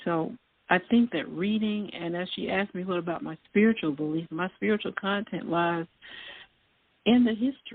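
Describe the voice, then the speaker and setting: In a Southern US accent, a woman talks at a moderate pace and medium pitch, with ordinary pitch variation. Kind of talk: casual chat. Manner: halting.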